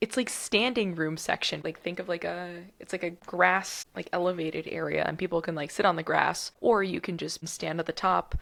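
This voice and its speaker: A woman with an American accent speaks at a moderate pace in a fairly low voice with vocal fry, ordinary pitch variation and an animated tone. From United States. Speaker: podcast host. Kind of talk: casual chat.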